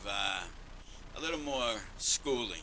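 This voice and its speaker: A man speaks at a fairly high pitch and a fairly slow pace, his intonation fairly even. Audible room echo and noticeable background noise surround him. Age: 60s. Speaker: cigar company owner. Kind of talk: casual interview chat.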